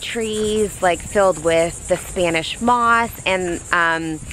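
The sound is dry with no echo, and light background noise is present. A woman speaks with ordinary pitch variation. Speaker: vlogger. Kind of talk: casual vlog chat. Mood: cheerful, enthusiastic. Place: street. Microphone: phone near.

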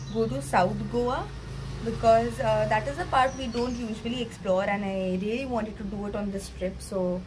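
Noticeable background noise fills the clip. Through it, a woman talks at a moderate pace. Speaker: travel vlogger. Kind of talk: casual vlog chat. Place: home room. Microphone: phone near.

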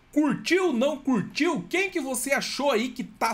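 A man with a Brazilian accent, animated in tone, at a fairly slow pace. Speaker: gaming youtuber. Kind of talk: trailer reaction commentary. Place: home room.

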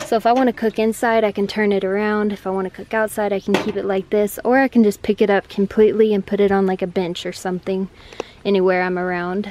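A woman at a fairly quick pace, with light background noise and a dry sound with no echo. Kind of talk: casual vlog tour. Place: car. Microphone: phone near.

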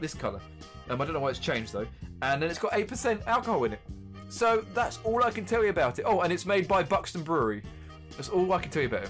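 A man at a very fast pace, with faint music in the background. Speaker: beer reviewer streamer. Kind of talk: casual stream commentary. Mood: cheerful, joking. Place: home room.

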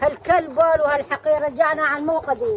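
The speech moves at a very slow pace with ordinary pitch variation over light background noise. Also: woman. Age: old. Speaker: villager cooking outdoors. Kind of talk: street interview. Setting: outdoors. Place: open country. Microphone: phone near.

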